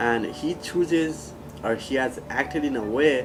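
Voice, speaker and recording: A man speaks with a non-native accent and very wide pitch swings. Noticeable background noise runs under his voice. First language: not English. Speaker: former student and peer mentor. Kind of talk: testimonial interview.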